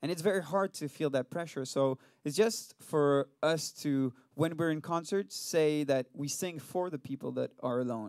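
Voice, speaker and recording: A man with a French accent talks at a moderate pace, his pitch fairly high and its variation ordinary. The recording is very clean with a silent background, and the sound is dry and close with no echo. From France. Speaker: rock band singer and bassist. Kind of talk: casual interview. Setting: studio.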